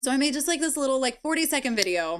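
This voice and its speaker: A loud woman talks with very wide pitch swings. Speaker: live streamer and video creator. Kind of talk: casual live stream chat. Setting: live stream. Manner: giggly.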